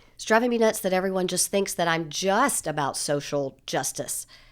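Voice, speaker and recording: Speaking at medium pitch with a Southern US accent, a woman is heard in a very clean recording with a silent background. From US South, Nashville, Tennessee. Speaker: public relations and crisis communications consultant. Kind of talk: interview conversation. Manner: fast; confident.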